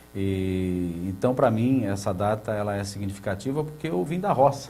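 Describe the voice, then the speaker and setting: A somewhat breathy man talks at a fairly low pitch and moderate pace, with a dark, mellow tone. His pitch variation is ordinary, and there is audible room echo. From Brazil, São Paulo state countryside. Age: 60s. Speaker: water utility head. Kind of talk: TV interview. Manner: hesitant, many fillers.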